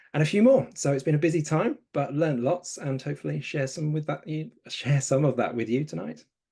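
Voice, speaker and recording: With a southern English accent, this voice has a dark, mellow tone, is somewhat breathy, moves at a fairly quick pace with hardly any pauses, and shows ordinary pitch variation. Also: man, fairly high pitch for a man. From southern England, Brighton. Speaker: conservation communications trainer, co-host. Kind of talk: webinar introduction. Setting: online webinar.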